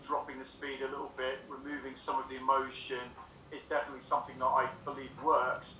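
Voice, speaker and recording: Noticeable background noise and audible room echo accompany a man speaking at medium pitch. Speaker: sales trainer. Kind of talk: conversational advice on video call. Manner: talks very fast when excited.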